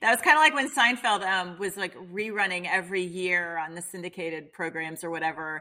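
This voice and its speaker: At a fairly quick pace with hardly any pauses, a woman with an unremarkable speaking voice talks at medium pitch with lively intonation, in a very clean recording with a silent background. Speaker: podcast host. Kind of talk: interview conversation.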